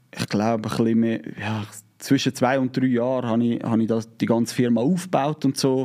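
With a Zurich accent, a man speaks at a moderate pace and medium pitch in a dark, mellow tone. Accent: Swiss German, Zurich dialect. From Switzerland, Zurich Oberland. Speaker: YouTuber, inline skater. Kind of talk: casual interview chat. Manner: hesitant, many filler sounds.

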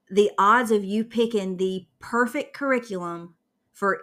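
A woman talks at a medium pitch with ordinary pitch variation. The recording is very clean, with a silent background. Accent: Southern US. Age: 30s. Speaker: podcast host, homeschooling mom. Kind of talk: casual chat.

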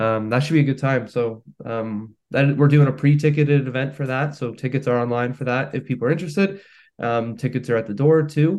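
A plain, everyday voice from a man with a Canadian accent, medium-pitched with ordinary pitch variation, at a fairly quick pace with hardly any pauses. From Canada, Hamilton, Ontario. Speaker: singer-songwriter. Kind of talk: casual interview chat.

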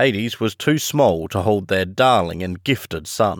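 A plain, everyday voice with lively intonation at a fairly slow pace. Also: man. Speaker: audiobook narrator and podcast host. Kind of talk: audiobook reading of classic fiction, with friendly chatty intro and outro. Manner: warm, measured storyteller pacing, slightly hushed and earnest voice for quoted dialogue; friendly, conversational, and relaxed when speaking as himself.

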